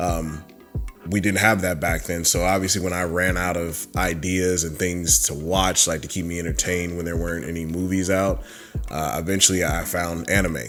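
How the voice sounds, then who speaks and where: With audible room echo, a man with a very deep, low pitch speaks at a moderate pace and fairly even intonation. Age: 30s. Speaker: YouTuber discussing anime and fandom. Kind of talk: casual vlog monologue. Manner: halting, many fillers.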